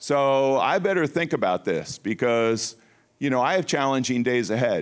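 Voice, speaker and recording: On a very clean recording with a silent background, a man talks at a moderate pace with lively intonation. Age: 60s. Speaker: Bible study teacher. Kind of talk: sermon. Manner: repetitive, halting with restarts.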